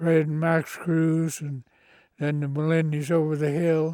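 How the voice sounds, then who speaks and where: On a very clean recording with a silent background, a man with an American accent speaks very slowly at a fairly high pitch, his dark, mellow tone held in a flat monotone. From central California. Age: 90s. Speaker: former conservation corps worker. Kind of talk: interview.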